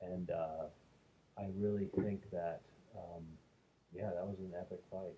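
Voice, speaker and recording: Soft-spoken and somewhat breathy, a man with a very deep, low pitch and dark, mellow tone speaks at a fairly slow pace in a monotone, flat intonation with long, frequent pauses. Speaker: MMA commentator. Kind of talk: casual monologue review. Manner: hesitant with fillers.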